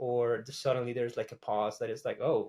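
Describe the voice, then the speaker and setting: Speaking fairly quickly in a Spanish accent, a man comes through on a very clean recording with a silent background. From Costa Rica. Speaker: graphic artist. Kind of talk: interview. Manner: casual, with many fillers.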